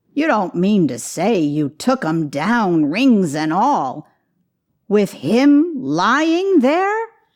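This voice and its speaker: In a put-on character voice, a woman speaks very slowly at a medium pitch with very wide pitch swings against a quiet background. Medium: read story. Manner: sly, haggling.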